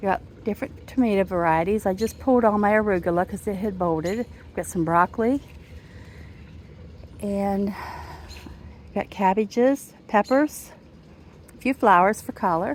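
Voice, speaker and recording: A woman of medium pitch speaks in a relaxed tone at a moderate pace. She leaves long, frequent pauses, and her pitch varies in an ordinary way. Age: 60s. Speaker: home gardener vlogger. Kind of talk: casual garden tour video. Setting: outdoors in garden. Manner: relaxed conversational.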